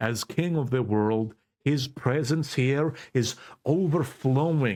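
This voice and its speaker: On a very clean recording with a silent background, a man with a non-native accent speaks at a very slow pace with ordinary pitch variation. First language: Greek. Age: 20s. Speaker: YouTuber / political commentator. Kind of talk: casual vlog commentary. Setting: in his bedroom. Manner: animated.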